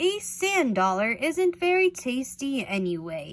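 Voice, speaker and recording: A put-on character voice moves at a fairly slow pace with very wide pitch swings. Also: woman, high pitch for a woman. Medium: read story.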